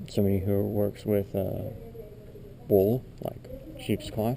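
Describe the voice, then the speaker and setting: Quietly and at a very slow pace, a man speaks at a fairly low pitch against noticeable background noise. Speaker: YouTuber. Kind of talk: walkthrough tour narration. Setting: indoors in a church building. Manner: soft-spoken.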